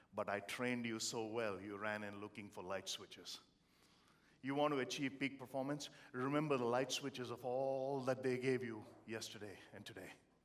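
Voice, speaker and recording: Speaking with an Indian accent, a man uses a medium pitch and ordinary pitch variation at a moderate pace. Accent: Indian accent, noticeable. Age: 50s. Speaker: motivational speaker. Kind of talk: motivational keynote speech. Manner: animated.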